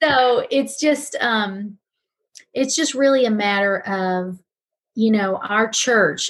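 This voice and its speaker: Ordinary pitch variation runs through a woman's somewhat breathy voice. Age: 50s. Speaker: pastor and talk show host. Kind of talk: casual chat.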